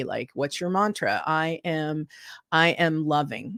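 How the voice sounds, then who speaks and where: Recorded very cleanly over a silent background, a woman with an ordinary speaking voice talks in a fairly low pitch with ordinary pitch variation. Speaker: musician, vocalist and author. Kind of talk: interview answer.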